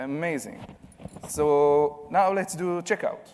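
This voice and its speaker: A man speaks at a fairly high pitch with a non-native accent. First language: not English. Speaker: conference speaker. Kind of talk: conference talk with live demo.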